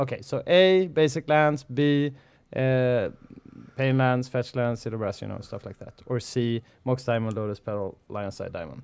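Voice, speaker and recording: A man with an ordinary speaking voice, medium in pitch, at a moderate pace with ordinary pitch variation and big swings in loudness. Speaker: podcast host. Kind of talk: casual chat. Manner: laughs often.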